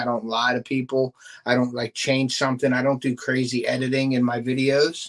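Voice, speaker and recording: With a Pittsburgh accent, a man talks at a moderate pace. His voice sits at a medium pitch, with monotone, flat intonation. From Pittsburgh, western Pennsylvania. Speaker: fishing YouTuber and bait maker. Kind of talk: casual live stream chat. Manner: casual, filler-heavy.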